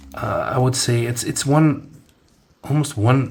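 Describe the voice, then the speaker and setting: The voice is somewhat breathy, with ordinary pitch variation. It carries a Dutch accent. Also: man. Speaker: amateur tech reviewer. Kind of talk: product review demo. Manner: halting, many fillers and restarts.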